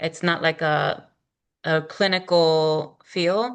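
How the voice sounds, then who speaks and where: Nothing much sounds behind the speaker, so the background is quiet. Delivery stays monotone, with flat intonation. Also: woman. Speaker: small business owner, program participant. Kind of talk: casual group video call.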